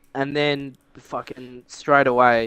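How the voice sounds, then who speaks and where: In an Australian accent, a man speaks at a fairly slow pace with fairly even intonation and a bright, sharp tone, the sound dry and close with no echo. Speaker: podcast co-host. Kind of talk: casual chat.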